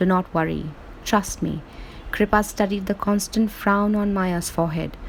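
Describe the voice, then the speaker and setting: A woman's flat, monotone voice against noticeable background noise. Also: medium pitch for a woman, moderate pace. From India. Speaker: author. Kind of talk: reading aloud.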